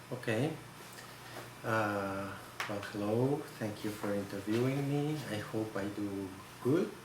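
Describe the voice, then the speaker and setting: The speaker has a Catalan Spanish accent, a very slow pace and ordinary pitch variation. Noticeable background noise and audible room echo fill the recording. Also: man, fairly low pitch for a man. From Spain, Barcelona (Catalonia). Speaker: photograph conservator. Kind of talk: interview. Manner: halting.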